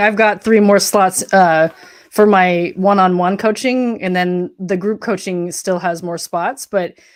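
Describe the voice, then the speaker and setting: A woman speaks in an unremarkable speaking voice at a medium pitch and moderate pace, on a very clean recording with a silent background. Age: 40s. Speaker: social worker and coach. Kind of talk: casual chat.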